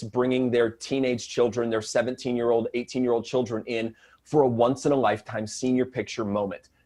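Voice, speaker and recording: In an American accent, a man talks at a medium pitch. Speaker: mortgage advisor. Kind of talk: interview. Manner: fast; calm.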